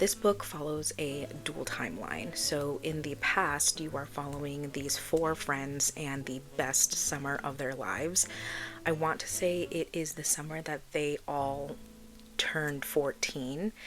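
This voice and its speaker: Soft-spoken, very deep and low speech from a woman, fairly slow with ordinary pitch variation, over noticeable background noise. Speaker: book reviewer. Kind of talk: casual chat. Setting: at home.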